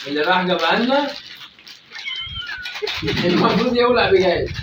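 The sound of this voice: Audible room echo surrounds a man speaking at a high pitch and a fairly quick pace with lively intonation. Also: fairly bright tone.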